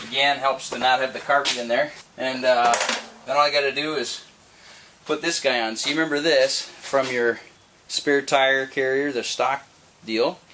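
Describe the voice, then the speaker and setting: Speaking at a moderate pace with a Minnesotan accent, this voice leaves long, frequent pauses against noticeable background noise. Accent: Minnesota. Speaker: Jeep owner. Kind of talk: casual how-to talk to camera.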